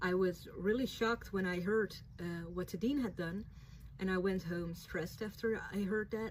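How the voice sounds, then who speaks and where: A woman speaks with a Dutch accent at medium pitch and a moderate pace. Her voice is somewhat breathy, with fairly even intonation. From Netherlands. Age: 20s. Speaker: writer and vlogger. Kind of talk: reading a prepared statement to camera.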